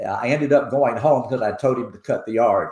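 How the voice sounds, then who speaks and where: Speaking with a Tennessee accent at a fairly quick pace, a man keeps his intonation fairly even amid audible room echo. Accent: Tennessee, Southern. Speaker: foundation president. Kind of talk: interview.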